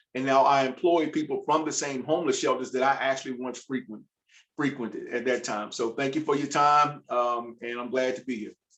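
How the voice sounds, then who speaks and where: A man with an American accent and an unremarkable speaking voice, medium in pitch, fairly even in intonation, at a fairly quick pace. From US South, Virginia. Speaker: food entrepreneur. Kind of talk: panel discussion.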